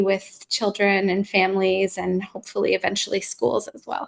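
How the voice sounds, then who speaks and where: A woman with a Canadian accent and a medium pitch. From Canada, near Toronto. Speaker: mindfulness practitioner and educator. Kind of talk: live online interview.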